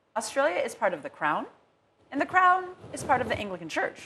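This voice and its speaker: A woman talks at a fairly quick pace. She has a slight American accent. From United States. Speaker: rabbi. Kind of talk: studio interview discussion. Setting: TV studio.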